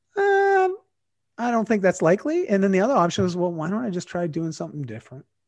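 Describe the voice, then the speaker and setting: Against a quiet background, a man with a Canadian accent talks at a very fast pace. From Canada. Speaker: fitness and lifestyle guest. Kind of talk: casual chat.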